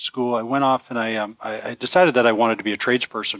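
An ordinary speaking voice with a Canadian accent moves at a fairly quick pace. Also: man. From Ontario, Canada. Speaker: engineering firm executive. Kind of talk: interview.

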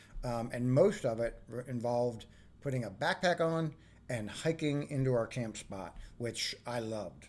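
At a moderate pace, a man with an ordinary speaking voice and medium pitch talks with lively intonation. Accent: American. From Northern Virginia, US. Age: 50s. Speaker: outdoors professional. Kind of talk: casual interview.

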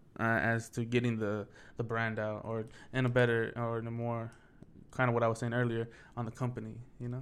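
A man speaks at a moderate pace in a medium pitch. His intonation is monotone and flat. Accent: American. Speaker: podcaster. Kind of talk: casual chat.

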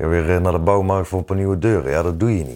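Very fast, a man talks in a dark, mellow tone with ordinary pitch variation, in a very clean recording with a silent background. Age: 30s. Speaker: former domestic violence perpetrator. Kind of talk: testimony.

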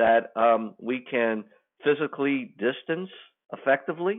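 A man with a normal speaking voice, fairly high in pitch, with lively intonation at a moderate pace. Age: 60s. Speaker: economic development consultant. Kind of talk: interview.

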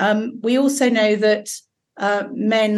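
This woman talks with an English accent and fairly even intonation. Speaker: safeguarding doctor and GP. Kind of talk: casual chat.

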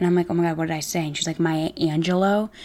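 On a very clean recording with a silent background, a woman speaks in a fairly low voice. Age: 20s. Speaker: podcast host. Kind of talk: casual monologue. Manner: animated.

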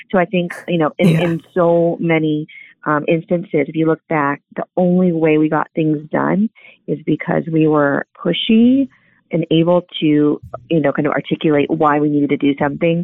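The speaker has an American accent and keeps a moderate pace. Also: woman, very deep, low pitch for a woman, ordinary pitch variation. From Southern California. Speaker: former punk band member. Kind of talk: interview testimony.

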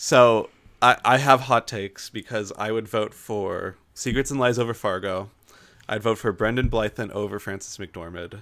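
A man at medium pitch, a plain, everyday voice, at a moderate pace. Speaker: podcast co-host. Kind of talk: casual chat. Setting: video call.

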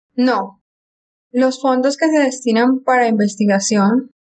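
With a plain, everyday voice, a woman talks at a fairly slow pace with fairly even intonation. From Colombia. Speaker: geologist. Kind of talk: interview.

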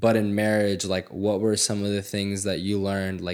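This man has a normal speaking voice with a fairly low pitch. He talks at a fairly quick pace. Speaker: podcast host. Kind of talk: casual interview chat.

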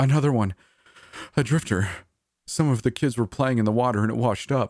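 A man's put-on character voice, wheezy and medium in pitch, at a fairly quick pace with very even loudness on a very clean recording with a silent background

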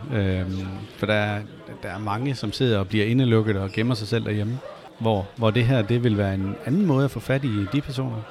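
Over noticeable background noise, a man with fairly low pitch talks at a moderate pace with fairly even intonation. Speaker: podcast host. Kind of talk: interview. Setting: gaming event venue.

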